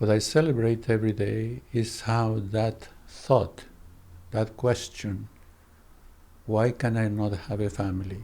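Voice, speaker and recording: With a Spanish accent, a man speaks fairly slowly in a fairly low pitch, his dark, mellow tone and fairly even intonation broken by long, frequent pauses. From Colombia. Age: 90s. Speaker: psychoanalyst. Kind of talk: interview conversation.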